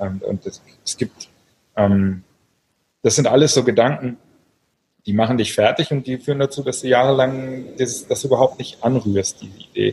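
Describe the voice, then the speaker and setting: Somewhat breathy with a dark, mellow tone, a man talks at a moderate pace and medium pitch, with ordinary pitch variation and long, frequent pauses. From Berlin, Germany. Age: 40s. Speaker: novelist and online entrepreneur. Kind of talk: interview. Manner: hesitant, many filler sounds.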